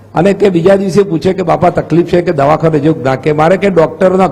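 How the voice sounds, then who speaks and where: High-pitched man with fairly even intonation. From north Gujarat, Mehsana district. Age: 60s. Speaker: politician, parliamentary candidate. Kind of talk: interview.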